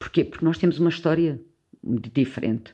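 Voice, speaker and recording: A woman speaks at a moderate pace. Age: 50s. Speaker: sociologist and anthropologist. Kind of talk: interview conversation.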